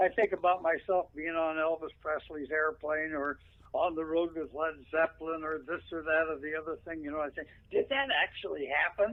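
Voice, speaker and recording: Fairly high in pitch, a man's voice moves at a moderate pace with fairly even intonation. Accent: Pacific Northwest. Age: 80s+. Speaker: veteran radio broadcaster. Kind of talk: interview.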